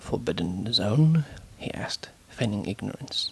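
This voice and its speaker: A whisper with a gentle tone at a fairly slow pace, over noticeable background noise. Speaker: author reading and editing her own novel. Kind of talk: ASMR proofreading and reading aloud. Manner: soft-spoken, whispered, gentle.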